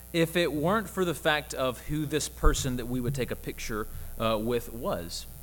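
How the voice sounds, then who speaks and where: A man speaks at a moderate pace with a Southern US accent. The room echo is audible. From US South, Mississippi (Jackson). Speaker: campus minister. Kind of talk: sermon.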